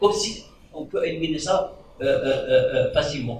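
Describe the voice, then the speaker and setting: The speech moves at a fairly quick pace. Light background noise and audible room echo are present. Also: man. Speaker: academic. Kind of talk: panel discussion remarks. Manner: halting, many fillers. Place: meeting room.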